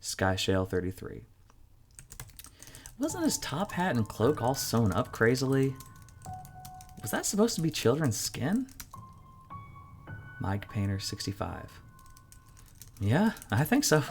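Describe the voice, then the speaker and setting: With music playing behind him, a man speaks at a fairly slow pace, making long, frequent pauses and very wide pitch swings. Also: medium pitch for a man. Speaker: narrator. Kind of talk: horror story narration.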